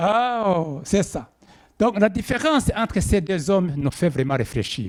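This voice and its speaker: A man speaks with an East African accent. His pitch swings very widely. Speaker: preacher. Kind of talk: sermon. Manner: slow; halting.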